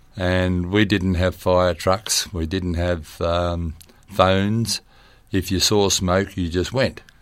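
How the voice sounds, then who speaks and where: In an Australian accent, a man speaks at a very slow pace with a very deep, low pitch and monotone, flat intonation. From Western Sydney, Australia. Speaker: long-serving local councillor. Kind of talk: interview.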